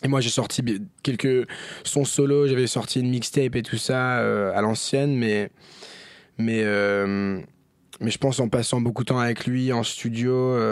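In a very clean recording with a silent background, a man talks at a very slow pace, his loudness very even and his intonation fairly even. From grew up abroad: China, India, Japan, Germany. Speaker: singer. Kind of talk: casual chat. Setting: studio.

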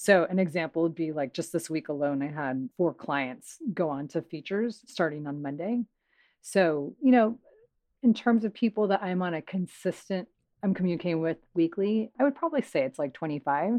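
With lively intonation, a woman speaks at a moderate pace in a fairly low pitch. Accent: American. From US West Coast, Los Angeles. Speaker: talent agent. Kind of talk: casual chat.

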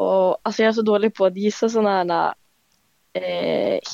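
The recording of this woman's voice is dry and close, without any echo. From Finspång, Östergötland, Sweden. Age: young. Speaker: student quiz contestant. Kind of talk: casual quiz chat. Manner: hesitant.

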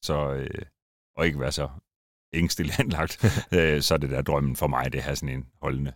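A man with a very deep, low pitch and vocal fry speaks at a moderate pace, his pitch varying in an ordinary way. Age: 40s. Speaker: former drift driver and car YouTuber. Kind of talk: casual interview chat. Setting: studio.

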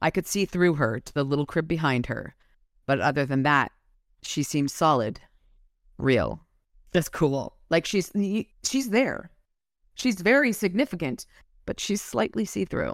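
A woman with an American accent talks at a very deep, low pitch and a fairly slow pace, leaving long, frequent pauses. Her tone is animated, with very wide pitch swings, in a very clean, dry, close recording with no echo and a silent background. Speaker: podcast host. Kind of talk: casual chat, some reading aloud. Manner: animated, joking.

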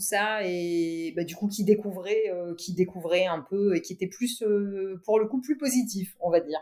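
A woman talks at a fairly slow pace, with a medium pitch and ordinary pitch variation. Hers is an ordinary speaking voice. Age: 50s. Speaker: tech entrepreneur. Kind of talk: interview.

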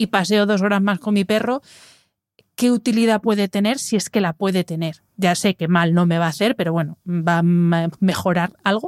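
At a fairly quick pace, a woman talks in a normal speaking voice at medium pitch with fairly even intonation, her dry, close sound free of echo on a very clean recording with a silent background. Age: 40s. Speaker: podcast host, wellness communicator. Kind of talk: interview.

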